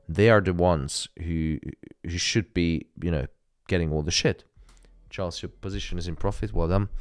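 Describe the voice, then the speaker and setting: With a non-native accent, a man with a very deep, low pitch and ordinary pitch variation speaks at a moderate pace with long, frequent pauses, on a very clean recording with a silent background. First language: not English. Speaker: live trading streamer. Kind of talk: live stream casual chat.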